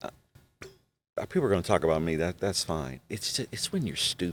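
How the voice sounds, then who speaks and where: This man's voice has vocal fry. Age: 40s. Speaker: pastor and podcast host. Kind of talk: casual chat. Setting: studio.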